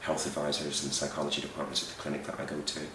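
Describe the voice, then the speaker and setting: Over noticeable background noise, a man talks in a very deep, low voice. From Belfast, Northern Ireland. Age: 40s. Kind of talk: interview answer.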